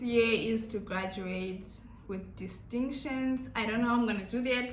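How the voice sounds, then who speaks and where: A woman speaks at a fairly high pitch. Room echo is audible around her voice. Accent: Zimbabwean. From Zimbabwe. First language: Shona. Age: 20s. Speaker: YouTuber. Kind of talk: casual Q&A vlog.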